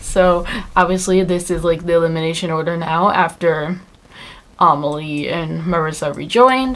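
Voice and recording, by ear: In a put-on character voice, someone mumbles at a fairly slow pace. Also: woman.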